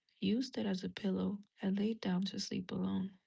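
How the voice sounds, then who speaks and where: Soft-spoken, this voice moves along at a moderate pace. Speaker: religious content creator. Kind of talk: reading aloud.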